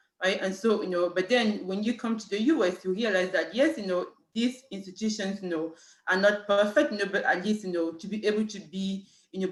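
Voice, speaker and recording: In a French accent, a woman speaks very fast at a medium pitch. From Cameroon. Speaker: city human rights official. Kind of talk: panel talk. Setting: video call. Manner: halting, many fillers.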